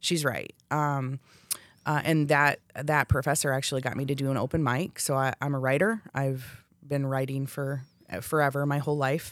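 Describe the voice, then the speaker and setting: A woman speaks with a very deep, low pitch and fairly even intonation at a moderate pace. The recording is very clean, with a silent background. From Hawaii. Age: 40s. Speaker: podcast host. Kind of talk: casual chat. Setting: studio.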